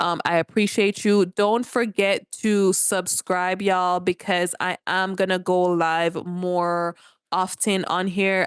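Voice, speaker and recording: A woman with a Jamaican accent speaks very slowly at medium pitch in a monotone, flat intonation, with a dry, close sound with no echo and a quiet background. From Jamaica, rural. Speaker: live streamer. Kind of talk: casual livestream chat. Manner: chatty, informal.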